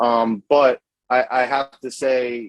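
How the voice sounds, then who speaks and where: A man talks in a New York accent at a medium pitch. The sound is dry and close, with no echo. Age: 30s. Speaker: cigar company owner. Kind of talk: casual chat.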